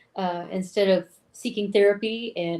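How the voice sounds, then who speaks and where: This is a woman speaking with a Southern US accent. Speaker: film podcast co-host. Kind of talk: film synopsis in casual chat.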